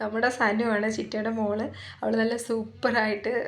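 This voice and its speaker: Amid audible room echo, a woman speaks at fairly high pitch. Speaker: vlogger. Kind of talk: casual vlog narration. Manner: animated.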